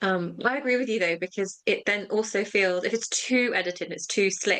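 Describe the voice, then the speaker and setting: Her voice at medium pitch, a woman speaks at a fairly quick pace with ordinary pitch variation. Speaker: higher education manager and podcast co-host. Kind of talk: casual chat. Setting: video recording. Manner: fast.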